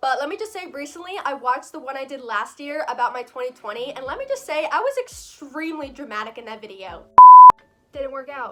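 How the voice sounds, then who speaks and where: A high-pitched woman's voice at a fairly quick pace, over noticeable background noise. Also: lively intonation. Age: 20s. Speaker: vlogger. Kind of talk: casual Q&A vlog.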